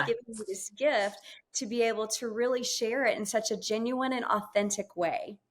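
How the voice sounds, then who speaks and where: This woman has an ordinary speaking voice, pitched fairly high, at a moderate pace with ordinary pitch variation. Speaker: podcast host and former TV reporter. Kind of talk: podcast interview questions.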